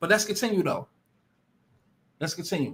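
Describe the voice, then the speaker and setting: A man's raised, projected voice, high in pitch, with a bright, sharp tone. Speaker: livestream commentator. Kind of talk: live stream commentary. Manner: fast; animated.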